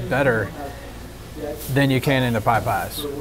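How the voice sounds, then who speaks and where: Background noise is clearly present. Under it, a male voice proceeds at a medium tempo. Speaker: food reviewer. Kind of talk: casual food review commentary. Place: cafe. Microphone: lapel.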